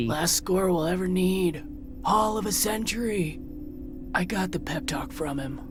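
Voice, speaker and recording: A woman does a put-on character voice at a medium pitch and a moderate pace. Loud background noise runs underneath. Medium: short film. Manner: sarcastic, curt.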